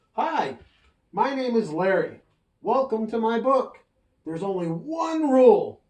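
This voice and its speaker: A man uses a put-on character voice at an extremely high pitch, moving at a fairly slow pace with long, frequent pauses. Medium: read story. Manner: playful, excitable.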